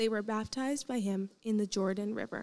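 A woman's dark, mellow tone at a moderate pace, with fairly even intonation. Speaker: student scripture reader. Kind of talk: scripture reading. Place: stage. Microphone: handheld.

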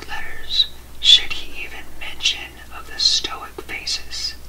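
A man's extremely high voice at a very slow pace, with ordinary pitch variation and light background noise. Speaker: ASMR creator. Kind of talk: ASMR book reading for sleep. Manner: soft-spoken, whispering. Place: home room.

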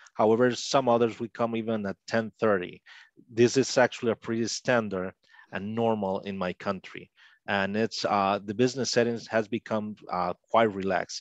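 Speaking with a Spanish accent, a man talks at a moderate pace and a fairly low pitch in a monotone, flat way. The background is quiet, and the sound is dry with no echo. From Costa Rica. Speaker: linguist; interview guest. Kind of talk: interview. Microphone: headset.

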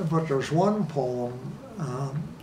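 Amid light background noise and audible room echo, a man talks at a medium pitch with ordinary pitch variation. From Ireland. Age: 80s+. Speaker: documentary subject. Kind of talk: interview answer. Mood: reflective, warm reminiscing. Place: home room. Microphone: lapel.

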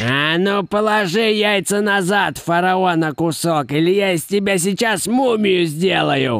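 A man talks at a moderate pace with very even loudness and a high pitch. Light background noise sits behind him. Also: hardly any pauses. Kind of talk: comic overacting. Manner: shrill, furious, threatening.

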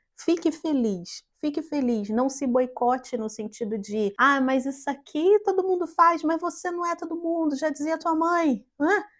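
A high-pitched woman at a fairly slow pace with hardly any pauses, against a quiet background. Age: 30s. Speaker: tour guide and travel agent; tourism content creator. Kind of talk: motivational vlog to camera. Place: home room. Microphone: lapel.

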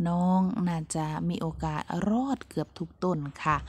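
A woman speaks with ordinary pitch variation. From Buriram, northeastern Thailand. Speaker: vlogger, pomelo farmer and mother. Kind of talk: casual vlog talk.

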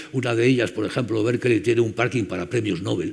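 A man speaks in a somewhat breathy voice. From Spain. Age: 70s. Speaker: conference chairman; speaker. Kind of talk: closing speech. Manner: halting. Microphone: headset.

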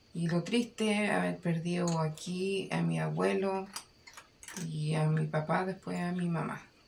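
Noticeable background noise fills the recording. Over it, a woman talks at a fairly slow pace. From Chile, O'Higgins region (rural town). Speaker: parent of the filmmaker. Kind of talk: interview.

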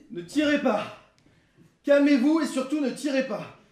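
Audible room echo fills the space as a man speaks at an extremely high pitch. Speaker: stage actor. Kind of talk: theatrical dialogue. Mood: urgent, calming others. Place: stage. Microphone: camera far.

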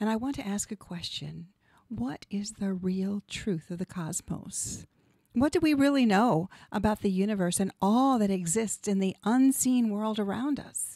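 Her voice has a dark, mellow tone at medium pitch, with lively intonation. The woman speaks at a fairly slow pace in a dry sound with no echo and a quiet background. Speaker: radio show host and hypnotherapist; radio show host. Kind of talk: scripted monologue. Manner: polished, rehearsed. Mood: calm, warm, inspirational. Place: studio. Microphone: studio mic.

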